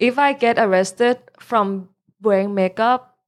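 A woman with a Thai accent speaks with ordinary pitch variation. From Thailand. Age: 20s. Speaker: DJ. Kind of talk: casual chat.

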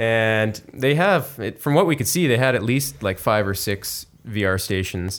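A man with an unremarkable speaking voice and medium pitch talks at a fairly slow pace with lively intonation. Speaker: podcast host. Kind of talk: casual chat. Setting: studio.

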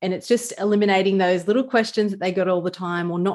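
A woman speaks with a broad Australian accent. Her pitch sits fairly low. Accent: Australian, casual ocker. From Newcastle, Australia. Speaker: small business lawyer. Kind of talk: casual chat.

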